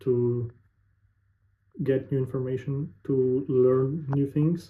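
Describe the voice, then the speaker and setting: A man at a medium pitch talks with a Russian accent. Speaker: sales representative, vlogger. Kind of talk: casual monologue to camera. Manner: halting, searching for words.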